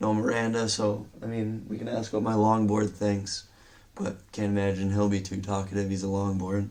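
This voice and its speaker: In a monotone, flat delivery, a man with a fairly low pitch talks at a moderate pace. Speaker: movie reviewer. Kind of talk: casual vlog review. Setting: home bedroom. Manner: halting, filler words.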